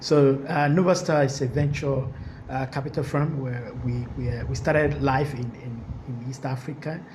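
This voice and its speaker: A man at a moderate pace with fairly even intonation, plus audible room echo and noticeable background noise. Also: medium pitch for a man. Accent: Nigerian. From Nigeria, Lagos. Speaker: venture capital investor. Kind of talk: panel discussion. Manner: halting.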